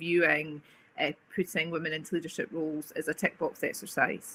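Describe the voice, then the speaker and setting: With an Edinburgh accent, a woman speaks at a fairly quick pace in a bright, sharp tone with a fairly low pitch. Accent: Scottish (Edinburgh). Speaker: agency managing director. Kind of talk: webinar talk.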